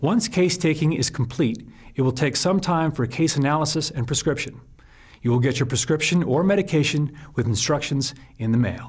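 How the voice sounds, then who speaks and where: The voice is somewhat breathy, with very even loudness at a moderate pace. The background is quiet. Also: man, fairly high pitch for a man, ordinary pitch variation. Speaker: infomercial presenter. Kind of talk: infomercial presenter read. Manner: clear, professional, instructional. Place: studio.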